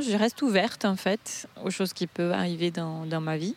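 Noticeable background noise behind a woman with a medium pitch and ordinary pitch variation. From Brazil. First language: Portuguese (speaking French). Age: 30s. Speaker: Brazilian expat in Paris. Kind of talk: interview testimony. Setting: outdoors in a park. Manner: lively.

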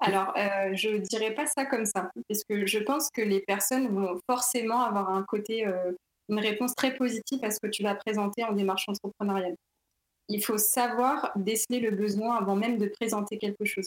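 A woman with a normal speaking voice talks at a moderate pace in a fairly high pitch, her intonation fairly even, her loudness very even, and the sound dry and close with no echo. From Paris region, France. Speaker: neuroscience graduate. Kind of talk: interview.

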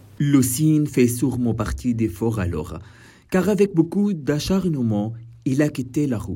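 A man at a medium pitch, with very wide pitch swings and a dark, mellow, somewhat breathy tone. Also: fairly slow pace. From Syria. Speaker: podcast co-host. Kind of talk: scripted narration.

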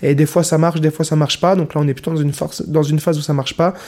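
A man with a dark, mellow tone and a fairly high pitch talks in monotone, flat intonation. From Nancy, northeastern France. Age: 20s. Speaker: semi-professional handball player. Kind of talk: interview. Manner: halting.

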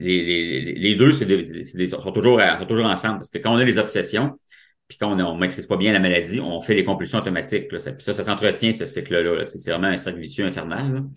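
This man talks at a fairly quick pace with lively intonation and big swings in loudness. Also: fairly low pitch for a man. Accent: Quebec. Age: 40s. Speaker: mental health advocate with OCD. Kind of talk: personal testimony interview. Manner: halting, repeats words.

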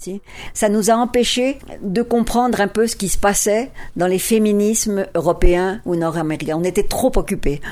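With a dark, mellow tone and medium pitch, a woman speaks at a moderate pace with ordinary pitch variation. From France. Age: 70s. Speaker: feminist academic. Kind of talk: interview.

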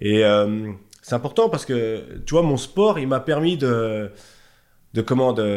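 A man talks very slowly at a medium pitch, leaving long, frequent pauses, his pitch varying in an ordinary way. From Haute-Savoie, France (Chablais). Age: 40s. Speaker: bodybuilding coach and shop owner. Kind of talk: casual interview chat.

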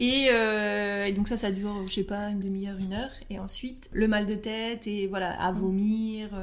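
A woman talks in a flat, monotone way at a medium pitch. Audible room echo can be heard. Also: moderate pace, hardly any pauses. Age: 30s. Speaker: astrologer. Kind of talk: personal interview testimony. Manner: hesitant, many fillers and repetitions.

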